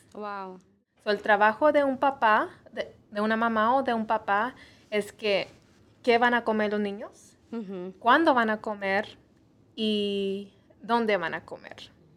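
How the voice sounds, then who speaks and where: A woman talks very slowly in a fairly high pitch with ordinary pitch variation. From US Midwest (Missouri), Mexican parents. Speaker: nutritionist. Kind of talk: interview on health show.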